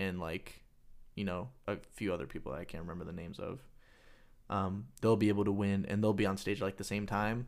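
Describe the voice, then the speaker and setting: Over a very clean recording with a silent background, a man with a normal speaking voice talks at a moderate pace and a fairly low pitch, with ordinary pitch variation. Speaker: podcast co-host. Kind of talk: casual chat.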